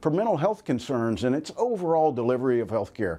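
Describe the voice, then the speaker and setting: A dark, mellow voice with an American accent and lively intonation. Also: man. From North Carolina, USA. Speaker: US senator. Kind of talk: political weekly address.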